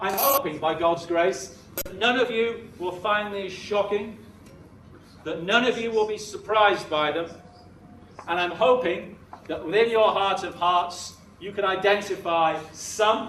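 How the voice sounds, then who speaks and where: Amid noticeable background noise and audible room echo, a man with a British accent speaks fairly slowly at a high pitch, with ordinary pitch variation. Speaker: education consultant giving a talk to teachers. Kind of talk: conference presentation. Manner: animated.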